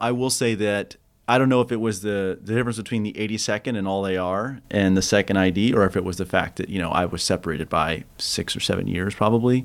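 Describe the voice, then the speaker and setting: A man rattles along at a very fast pace with ordinary pitch variation. The recording is very clean, with a silent background. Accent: American. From Kansas. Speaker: war veteran. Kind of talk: interview.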